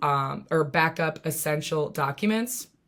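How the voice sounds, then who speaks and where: Her pace is fairly slow. The voice belongs to a woman. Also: quiet background. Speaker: app presenter; presenter. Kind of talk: tutorial. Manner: animated. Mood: warm, playful, encouraging. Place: home room. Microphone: webcam.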